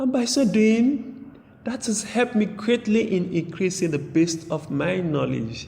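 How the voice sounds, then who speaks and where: A man with a Sierra Leonean accent speaks at a fairly slow pace. His high voice has a dark, mellow tone and lively intonation. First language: Temne. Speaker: author. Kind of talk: interview answer.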